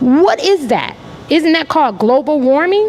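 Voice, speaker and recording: Over noticeable background noise, a woman speaks at a moderate pace in an animated tone. Her high voice makes very wide pitch swings. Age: 50s. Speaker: artist panelist. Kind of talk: panel discussion.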